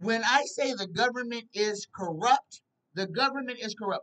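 A woman's high-pitched voice at a moderate pace, with ordinary pitch variation, over a quiet background. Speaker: psychic tarot show host. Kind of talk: casual livestream commentary. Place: home room. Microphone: webcam.

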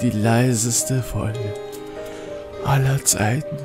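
A man's speech is joined by clear background music. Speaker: gamer streamer. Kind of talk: casual gaming commentary to camera. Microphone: studio mic.

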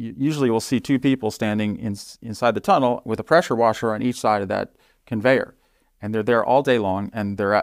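With an American accent, the speaker goes at a very fast pace, using ordinary pitch variation. The sound is dry with no echo, set against a quiet background. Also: man. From US Northeast, New Jersey. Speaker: robotics company executive; guest. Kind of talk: interview. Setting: studio. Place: studio. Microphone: lapel.

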